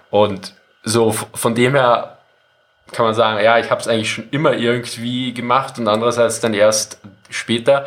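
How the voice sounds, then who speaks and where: The man speaks at medium pitch with monotone, flat intonation. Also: moderate pace. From Austria. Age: 40s. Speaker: military history YouTuber. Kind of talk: casual interview.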